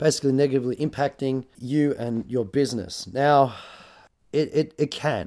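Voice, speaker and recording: A man speaks at a moderate pace in a medium pitch. His dark, mellow tone comes through a very clean recording with a silent background. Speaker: photographer and podcast host. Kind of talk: solo podcast monologue. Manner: casual, hesitant with fillers.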